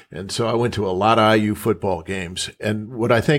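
Recorded very cleanly against a silent background, a man with an American accent has an ordinary speaking voice, medium pitch and ordinary pitch variation. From Minnesota. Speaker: journalist co-interviewer. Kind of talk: interview.

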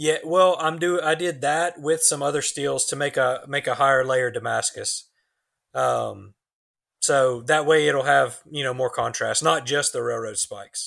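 On a very clean recording with a silent background, a man talks at a fairly slow pace. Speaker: knifemaker. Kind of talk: casual chat.

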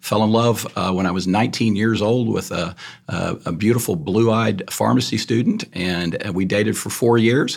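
A man with a Texan accent, fairly low in pitch, at a moderate pace with hardly any pauses and ordinary pitch variation. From Texas, north Texas country. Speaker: lawyer, bar president candidate. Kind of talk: candidate forum.

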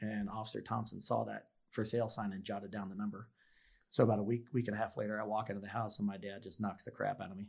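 This man talks very fast in a fairly low, monotone, flat voice with vocal fry. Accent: American. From US Midwest, Kansas City. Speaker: police officer. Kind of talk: interview, personal testimony. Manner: halting, many fillers.

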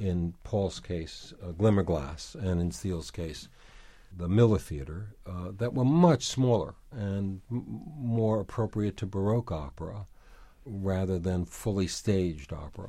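A man with an American accent, fairly low pitch, lively intonation, a somewhat breathy quality and a fairly slow pace. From New York City. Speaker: former arts center president, author. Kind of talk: interview.

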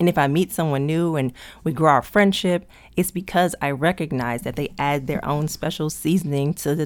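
A woman with an American accent speaks at a moderate pace in a very deep, low pitch with ordinary pitch variation, on a very clean recording with a silent background. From US, Prince George's County, Maryland. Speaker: podcast host. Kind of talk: casual monologue. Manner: laughs big and hearty.

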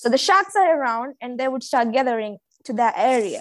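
A woman's fairly high voice with ordinary pitch variation and a Maldivian accent, on a very clean recording with a silent background. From Maldives. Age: 20s. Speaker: dive master. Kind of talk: casual chat.

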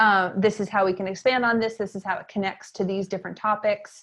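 With an American accent, a woman talks at a moderate pace in a monotone, flat intonation. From Maine, US. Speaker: educator and entrepreneur. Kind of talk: interview conversation.

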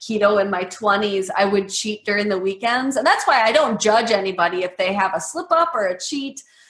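A woman with a fairly high pitch talks at a moderate pace with hardly any pauses. Her intonation is lively, and there is noticeable background noise. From US Midwest, Medford, Wisconsin. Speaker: keto nutrition author. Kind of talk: interview.

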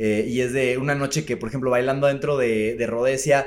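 A man talks at a moderate pace with fairly even intonation. He has an ordinary speaking voice. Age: 30s. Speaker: festival organizer and bar owner. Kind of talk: casual chat.

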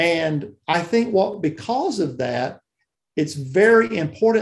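A man with a Southern US accent speaks at a fairly slow pace in a high pitch, with ordinary pitch variation. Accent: Southern US (Georgia). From US South, South Georgia. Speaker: church music and worship leader. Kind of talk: interview.

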